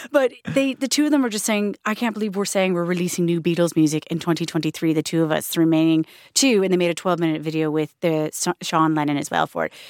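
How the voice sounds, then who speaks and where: A woman with a Canadian accent talks very fast at a fairly low pitch, with lively intonation and hardly any pauses. The recording is very clean with a silent background and a dry, close sound with no echo. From Canada. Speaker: radio presenter. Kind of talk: casual chat.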